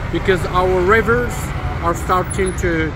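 Man's voice, dry with no echo, against loud background noise. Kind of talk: casual conversation. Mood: thoughtful, concerned. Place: street. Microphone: phone near.

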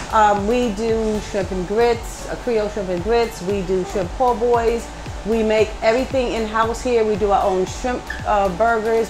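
With clear music behind her, a woman talks at a moderate pace in fairly even intonation. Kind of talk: interview answer. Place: cafe.

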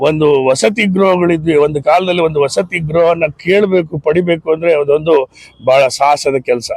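In an unremarkable speaking voice, a man talks at a fairly high pitch with fairly even intonation and very even loudness. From Bhadravati, Karnataka, India. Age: 60s. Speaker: economics professor. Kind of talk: interview testimony.

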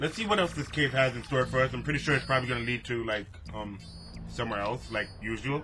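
This man talks at a moderate pace while clear music plays behind him. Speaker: gamer. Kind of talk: let's play commentary. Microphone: headset.

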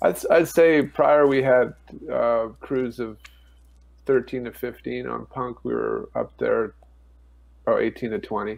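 At a moderate pace, a man speaks with long, frequent pauses. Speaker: guest. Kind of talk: interview answer. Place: home room. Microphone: earbuds.

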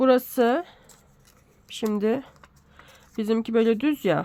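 A woman's dark, mellow tone at a very slow pace, with long, frequent pauses. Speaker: sewing pattern tutorial creator. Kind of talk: tutorial. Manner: casual, hesitant with fillers.

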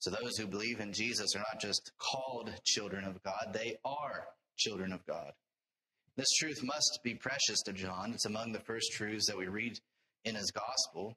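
A man speaks at a moderate pace. His intonation stays fairly even. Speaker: preacher. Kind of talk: sermon. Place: church. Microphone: lapel.

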